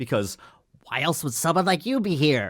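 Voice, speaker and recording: A shrill, put-on character voice comes at a moderate pace in a very clean recording with a silent background. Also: man, fairly high pitch for a man. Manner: shrill, erratic, unhinged, accusatory.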